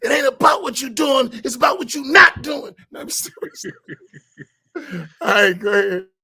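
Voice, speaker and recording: Using a raised, projected voice, a man speaks at an extremely high pitch and a moderate pace, with very wide pitch swings and big swings in loudness. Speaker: mosque program host. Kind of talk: casual chat.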